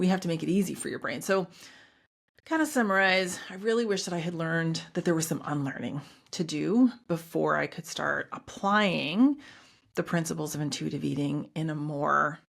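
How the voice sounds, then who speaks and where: Her pitch fairly low and her intonation lively, a woman speaks in a very clean recording with a silent background. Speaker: nutritionist and podcast host. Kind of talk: solo podcast talk. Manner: fast; casual.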